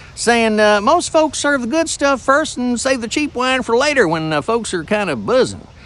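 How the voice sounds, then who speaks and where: A man speaks with a Southern US accent. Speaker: voice actor. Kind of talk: humorous trivia storytelling to camera.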